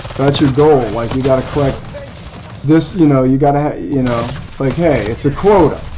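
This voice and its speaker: A man with a fairly high pitch and ordinary pitch variation speaks at a fairly quick pace, with noticeable background noise and audible room echo. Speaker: gaming streamer. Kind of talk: casual chat. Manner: loud.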